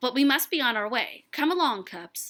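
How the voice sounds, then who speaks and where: A moderately paced delivery comes in a put-on character voice. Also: woman, high pitch for a woman. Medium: read story.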